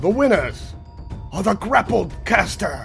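A put-on character voice with a fairly high pitch moves at a fairly slow pace. Clear music plays in the background. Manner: announcing to a crowd.

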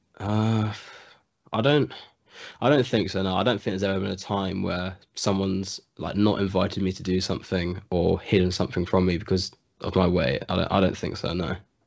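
A man with an English accent talks at a fairly quick pace, his voice very deep and low, with ordinary pitch variation. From England. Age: young. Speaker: college student. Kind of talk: interview.

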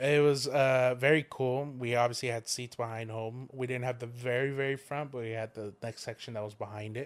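A man speaks at medium pitch with monotone, flat intonation. His pace is fairly quick, with hardly any pauses. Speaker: guest. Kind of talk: casual chat. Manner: loud.

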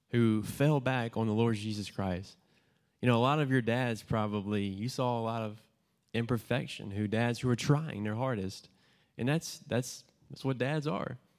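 On a very clean recording with a silent background, a man has an unremarkable speaking voice, medium in pitch, with ordinary pitch variation at a moderate pace. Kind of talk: testimony. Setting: church gathering with audience.

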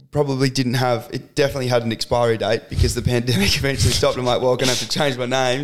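Here a man with a strong Australian accent speaks at a medium pitch. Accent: broad Australian. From rural Victoria, Australia. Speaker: podcast guest, social media content creator and athlete trainer. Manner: casual, uses lots of filler words.

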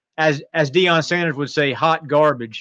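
An unremarkable speaking voice proceeds at a moderate pace. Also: man. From North Carolina. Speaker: college football writer. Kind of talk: sports talk interview.

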